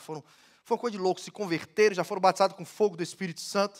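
A very fast man's voice, high-pitched, over a quiet background. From Brazil, Ceará (Northeast). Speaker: pastor. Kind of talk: sermon. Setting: church. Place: church. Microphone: headset.

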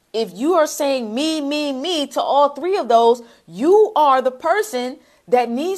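Against a quiet background, a woman speaks high and animated, with lively intonation. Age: 30s. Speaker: social media marketing coach. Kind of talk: livestream sales pitch. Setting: livestream. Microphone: lapel.

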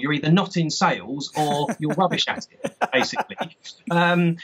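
A man is talking. His voice sits high in pitch. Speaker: remote interview guest, sales trainer. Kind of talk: interview answer.

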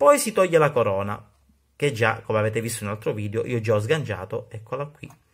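A man's somewhat breathy, very fast speech with lively intonation against a quiet background. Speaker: watch hobbyist YouTuber. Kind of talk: tutorial. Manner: casual, hesitant with fillers. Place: workshop. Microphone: phone near.

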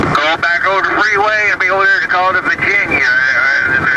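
Over loud background noise, a man uses a raised, projected voice at a high pitch and a fairly quick pace. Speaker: truck driver. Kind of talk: casual CB radio chat. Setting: CB radio. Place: car. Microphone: camera far.

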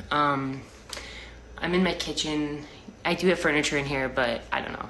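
Amid light background noise and audible room echo, a woman with a very deep, low pitch talks at a moderate pace with ordinary pitch variation. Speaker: livestreamer. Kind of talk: casual livestream chat answering comments. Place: kitchen. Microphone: phone near.

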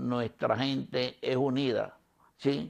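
In a quiet setting, a man delivers his words very slowly. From Colombia, Chocó (Pacific coast). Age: 70s. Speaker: community leader and displaced victim. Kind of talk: interview testimony. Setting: video podcast studio. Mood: nostalgic, reflective. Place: home room.

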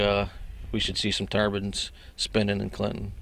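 A man with an American accent has a normal speaking voice at a fairly low pitch. He goes at a moderate pace, and the sound is dry with no echo. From northern New York. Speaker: wind farm worker. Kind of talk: casual interview. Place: open country. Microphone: handheld.

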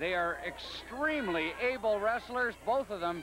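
An excited man's raised, projected voice, high in pitch, with lively intonation and a fairly slow pace over noticeable background noise. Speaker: wrestling color commentator. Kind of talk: live wrestling commentary. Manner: analytical, emphatic, excited as action builds.

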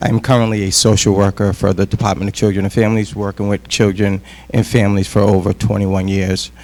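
Noticeable background noise under very fast, fairly even speech. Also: man, fairly low pitch for a man. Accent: New England. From Worcester, Massachusetts, US. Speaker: school committee candidate, social worker. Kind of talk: candidate forum speech.

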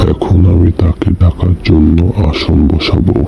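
Over clear background noise, a man puts on a cartoonish character voice at a very deep, low pitch. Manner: confident, solemn.

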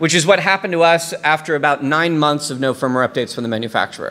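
This voice has a bright, sharp tone, an American accent and ordinary pitch variation. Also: man. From US South, Tennessee. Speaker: security researcher; conference speaker. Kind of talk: conference talk. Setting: stage with audience. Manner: frequent fillers (um, uh). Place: hall. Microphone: podium.

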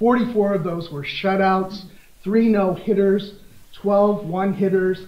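A man's high-pitched, monotone, flat voice with audible room echo. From US Midwest, Des Moines, Iowa; Iowa. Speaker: law professor. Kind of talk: conference lecture. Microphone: podium.

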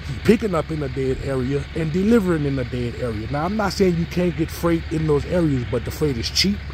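Over noticeable background noise, a man speaks with hardly any pauses in dry sound with no echo. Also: fairly quick pace. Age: 30s. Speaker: hotshot truck driver and vlogger. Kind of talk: casual vlog. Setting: outdoors by his trailer. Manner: relaxed, many fillers. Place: street. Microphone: phone near.

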